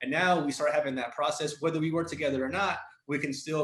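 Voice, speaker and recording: A man speaks with a Spanish accent. He keeps a fairly quick pace. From Mexico, then raised in the US. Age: 30s. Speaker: entrepreneur. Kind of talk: interview. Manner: animated, casual slang.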